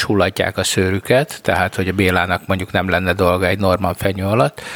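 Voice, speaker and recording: Noticeable background noise runs throughout. The man's pace is fairly quick. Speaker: podcast co-host. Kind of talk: casual chat. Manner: stammering, repeats words.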